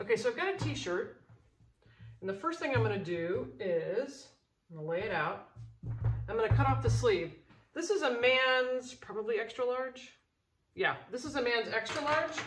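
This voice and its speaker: Music plays behind a woman speaking at a moderate pace. Her pitch swings very widely, and she takes long, frequent pauses. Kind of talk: tutorial. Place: home room. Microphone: phone near.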